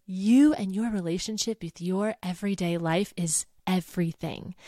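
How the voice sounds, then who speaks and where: On a very clean recording with a silent background and a dry, close sound with no echo, a woman at medium pitch speaks in an animated tone at a fairly slow pace. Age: 30s. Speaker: podcast host and voice teacher business coach. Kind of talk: solo podcast monologue.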